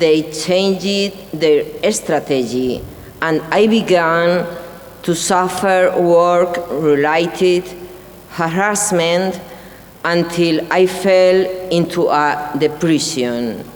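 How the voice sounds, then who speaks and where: A woman with a fairly low voice speaks very slowly in a Spanish accent, with ordinary pitch variation and very even loudness. Audible room echo and noticeable background noise are present. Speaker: whistleblower. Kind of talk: testimony speech. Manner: halting.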